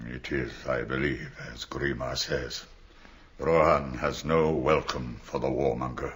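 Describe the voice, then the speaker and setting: Using a put-on character voice, a man speaks with a very deep, low pitch. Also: fairly slow pace. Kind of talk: archaic royal speech. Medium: audio drama.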